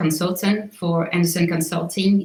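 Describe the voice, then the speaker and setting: This woman talks at a fairly slow pace in a fairly low pitch. Her voice is somewhat breathy, with a slight Swiss accent. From Switzerland. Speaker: real estate agent. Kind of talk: interview.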